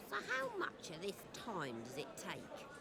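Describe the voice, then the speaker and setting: A put-on character voice at a middle pitch comes through over loud background noise. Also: fairly slow pace. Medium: short film.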